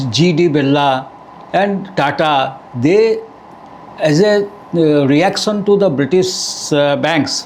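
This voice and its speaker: A man speaks very slowly, his pitch fairly high and its variation ordinary. Noticeable background noise and audible room echo surround his voice. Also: very even loudness. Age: 70s. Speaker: university registrar, former banker. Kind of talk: podcast interview.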